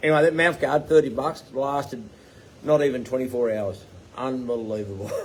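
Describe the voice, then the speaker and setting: A man's medium-pitched, fairly quick speech over noticeable background noise. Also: ordinary pitch variation. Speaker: tiny home builder and business owner. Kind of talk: live Q&A chat. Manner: rambling with fillers.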